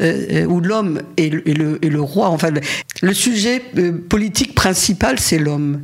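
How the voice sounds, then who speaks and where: A woman speaks at a very slow pace in a fairly low pitch with lively intonation. Noticeable background noise sits behind her. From France, Paris area. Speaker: feminist activist. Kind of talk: interview testimony. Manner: halting, with many repetitions.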